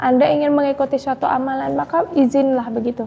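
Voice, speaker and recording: At a moderate pace, a woman speaks in a high pitch over noticeable background noise. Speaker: Islamic spiritual advisor. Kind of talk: live stream Q&A religious advice. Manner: soft-spoken.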